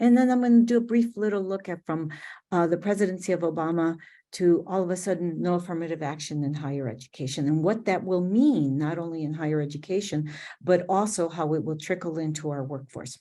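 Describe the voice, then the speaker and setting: Her tone is dark and mellow, and her pitch is fairly low for a woman. This woman speaks at a fairly quick pace with lively intonation. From US Midwest, Chicago. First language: Spanish. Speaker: diversity and inclusion director. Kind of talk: webinar presentation. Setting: online webinar.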